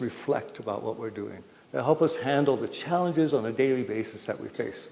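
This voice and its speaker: A man with an unremarkable speaking voice talks at a moderate pace and fairly high pitch with lively intonation. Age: 60s. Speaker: public health speaker. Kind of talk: public talk to community audience.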